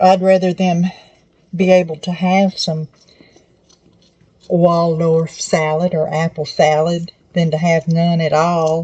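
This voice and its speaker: Somewhat breathy and dark, mellow in tone, a woman with a Southern US accent and a fairly low pitch speaks in a monotone, flat intonation at a very slow pace with long, frequent pauses. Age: 70s. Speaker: cooking channel host. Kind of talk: cooking tutorial. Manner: casual, conversational.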